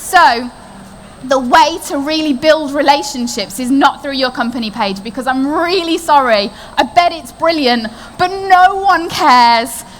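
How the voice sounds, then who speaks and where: A high-pitched woman talks in an animated tone with lively intonation at a fairly slow pace, with audible room echo and noticeable background noise. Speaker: marketing consultant. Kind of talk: conference talk.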